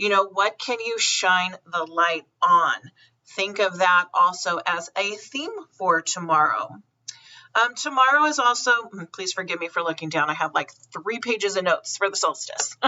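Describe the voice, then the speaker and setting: At a moderate pace, a woman with a medium pitch and lively intonation speaks in a plain, everyday voice. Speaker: psychic medium. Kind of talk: spiritual forecast monologue.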